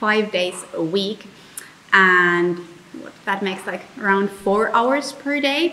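A woman with a Finnish accent speaks with lively intonation. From Finland. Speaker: vlogger. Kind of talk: explainer vlog. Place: home room.

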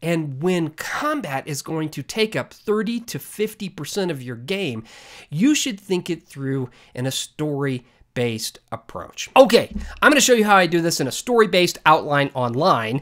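A man at a moderate pace with very wide pitch swings, against a quiet background. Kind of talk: tutorial. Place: home room. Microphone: webcam.

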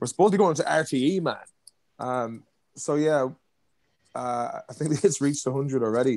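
A man with an Irish accent, fairly high pitch and ordinary pitch variation, at a moderate pace with long, frequent pauses, over a quiet background. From Ireland. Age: 30s. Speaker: comedy actor. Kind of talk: casual chat. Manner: animated. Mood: relaxed, joking storytelling. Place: home room. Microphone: video call.

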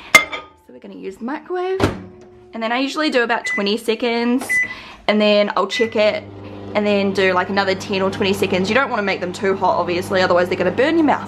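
A woman talks very fast with lively intonation and big swings in loudness. Noticeable background noise runs underneath. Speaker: vlogger. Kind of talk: casual vlog cooking tutorial. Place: kitchen. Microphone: phone near.

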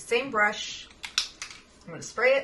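Noticeable background noise sits behind the speech. A woman talks at a moderate pace. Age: 40s. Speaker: makeup youtuber and fine artist; makeup youtuber. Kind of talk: makeup tutorial. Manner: animated. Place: home room. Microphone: webcam.

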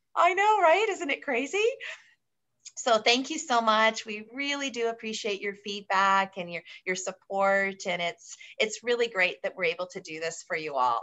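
A woman talks at a moderate pace with a fairly high voice and very wide pitch swings. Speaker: travel agency manager. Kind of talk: webinar hosting. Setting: video call. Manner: animated. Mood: cheerful, warm. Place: home room. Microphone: video call.

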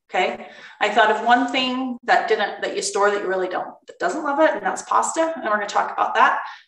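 With audible room echo over a quiet background, a woman talks at a fairly quick pace, her loudness swinging widely. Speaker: cooking class instructor. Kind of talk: online class talk. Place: kitchen. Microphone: webcam.

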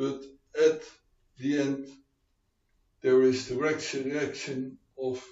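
A man's fairly high-pitched voice at a very slow pace, monotone and flat, with audible room echo. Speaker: preacher, Bible teacher. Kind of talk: sermon, Bible teaching. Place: home room.

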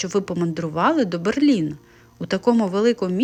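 Simply plain reading aloud

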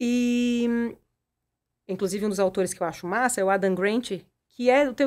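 Her voice fairly high, a woman speaks at a moderate pace with ordinary pitch variation. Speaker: personal development coach and entrepreneur; personal development coach. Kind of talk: casual interview. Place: studio. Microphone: studio mic.

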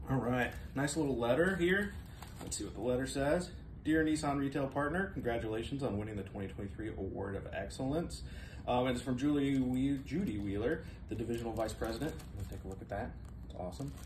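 There is audible room echo and light background noise as a man speaks at a fairly quick pace. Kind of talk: casual unboxing chat. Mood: excited, upbeat. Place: office. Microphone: phone near.

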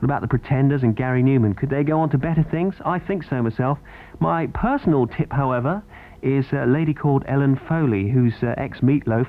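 A man talks at a fairly quick clip in an ordinary speaking voice, his pitch fairly high and its variation ordinary. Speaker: radio DJ. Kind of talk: radio DJ links. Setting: radio studio. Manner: upbeat.

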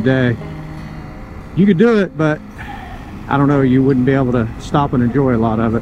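A man at a moderate pace with ordinary pitch variation, dry sound with no echo, and faint music in the background. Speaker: motorcycle rider vlogger. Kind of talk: casual ride commentary. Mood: relaxed, enjoying the ride. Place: motorbike. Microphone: helmet.

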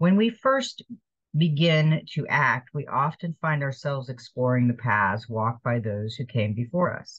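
A woman's somewhat breathy, very deep, low voice at a moderate pace against a quiet background. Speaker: card reader. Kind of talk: spiritual card reading, partly read aloud. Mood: calm, gentle. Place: kitchen. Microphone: webcam.

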